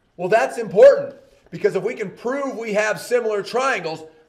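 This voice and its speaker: Talking at a fairly quick pace, a man with a high pitch and ordinary pitch variation is heard with audible room echo and noticeable background noise. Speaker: math teacher. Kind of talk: lecture. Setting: recorded video lesson.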